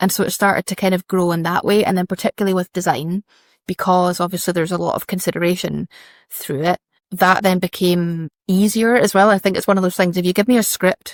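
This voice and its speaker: A woman in a Scottish accent speaks very fast at a medium pitch, with fairly even intonation. The sound is dry and close with no echo, on a very clean recording with a silent background. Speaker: fashion brand founder and designer. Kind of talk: interview conversation. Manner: chatty, informal.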